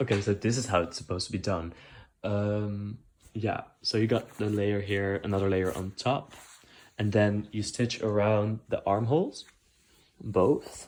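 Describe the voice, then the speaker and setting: Speaking at a very slow pace with a non-native accent, a man uses a fairly low pitch and fairly even intonation on a very clean recording with a silent background. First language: not English. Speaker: DIY sewing vlogger. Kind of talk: tutorial vlog. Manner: casual, hesitant with many fillers.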